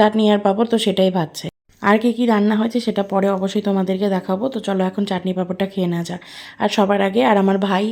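The speaker is a woman with a medium pitch. Her intonation stays monotone and flat. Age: 20s. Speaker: vlogger. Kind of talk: casual vlog narration. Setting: at home.

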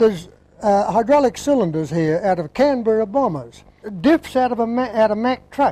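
Speaking at a moderate pace, a man with a high pitch and a dark, mellow tone shows ordinary pitch variation. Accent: Australian. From Australia. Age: 70s. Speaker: sawmill owner. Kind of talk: interview answer.

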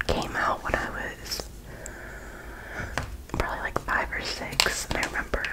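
A soft-spoken woman whispers at a moderate pace through loud background noise. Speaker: hobby creator. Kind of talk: casual vlog chat. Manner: soft ASMR whisper, storytelling. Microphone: phone near.

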